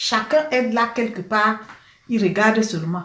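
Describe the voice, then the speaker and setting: A woman with a Cameroonian accent at a fairly slow pace, with audible room echo. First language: Cameroonian local language (speaking French). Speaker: political commentator. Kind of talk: live stream rant. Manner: animated.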